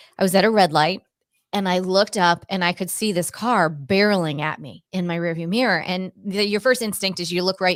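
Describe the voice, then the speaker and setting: With an American accent and a normal speaking voice, a woman talks at a medium pitch and a fairly quick pace in a very clean recording with a silent background and a dry, close sound with no echo. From US Northeast, Cape Cod, Massachusetts. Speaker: Pilates instructor and intuitive empath. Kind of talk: interview testimony.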